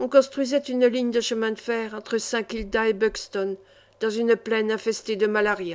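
Reading voice, unforced, with fairly even intonation.

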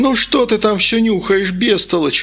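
A man's loud put-on character voice, high in pitch and fairly bright in tone, with ordinary pitch variation at a fairly slow pace

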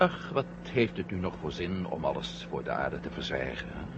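In a put-on character voice, a man talks at a moderate pace with an extremely low pitch and big pitch swings.

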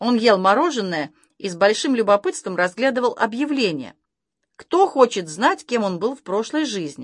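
With a quiet background, the reading aloud in a natural voice has lively intonation.

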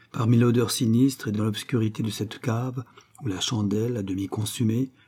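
The intonation of this natural reading voice stays fairly even.

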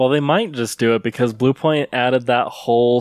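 In a dry, close recording with no echo and a very clean, silent background, a man uses a normal speaking voice at medium pitch with fairly even intonation. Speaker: podcast host. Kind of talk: casual chat. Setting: live stream.

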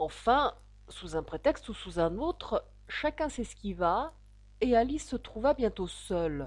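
Someone is reading aloud. They do it in a natural voice.

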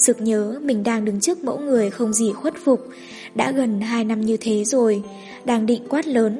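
An unforced voice does the reading here.

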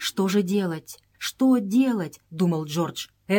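The reading aloud is plain, with lively intonation.

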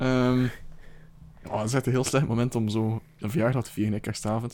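A man talks at a fairly quick pace. His tone is slightly mellow, with little pitch movement. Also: medium pitch for a man.

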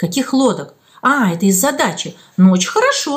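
Plain reading aloud comes with lively intonation.

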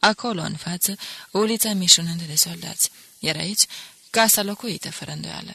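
A natural reading voice shows ordinary pitch variation.

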